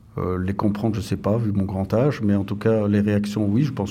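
A man with a fairly low pitch talks amid audible room echo. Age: 50s. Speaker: police officer. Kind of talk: interview.

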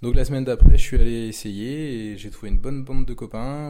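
His intonation is fairly even. The man's tone is dark and mellow. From Brittany, Pontivy (Morbihan). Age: 30s. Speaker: kayak instructor. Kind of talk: interview. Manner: hesitant with fillers.

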